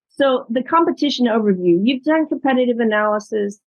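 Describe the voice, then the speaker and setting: Quick-paced and lively in intonation, a woman speaks at a fairly high pitch. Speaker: startup investment specialist. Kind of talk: webinar presentation. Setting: video webinar.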